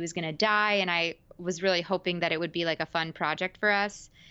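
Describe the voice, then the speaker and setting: In an American accent, a woman talks at a fairly quick pace with fairly low pitch and fairly even intonation. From New York suburbs. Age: 20s. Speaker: podcast host and actress. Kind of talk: interview conversation. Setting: video call.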